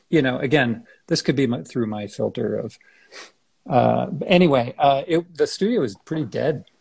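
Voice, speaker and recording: A man with an American accent and vocal fry, medium in pitch and moderate in pace, with lively intonation. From San Francisco Bay Area, US. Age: 60s. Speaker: architect. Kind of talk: interview conversation. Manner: halting, many fillers and restarts.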